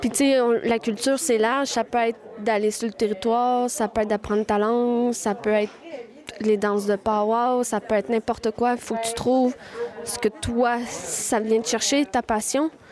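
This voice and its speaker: Her pitch is fairly high as the woman speaks at a moderate pace with fairly even intonation. Noticeable background noise runs underneath. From Quebec, Wendake. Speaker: language and culture project manager. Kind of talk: interview testimony.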